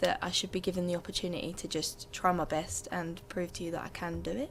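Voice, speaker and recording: Over noticeable background noise, a woman with a fairly low pitch talks at a very fast pace. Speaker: student election candidate. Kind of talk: debate closing statement. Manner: loud.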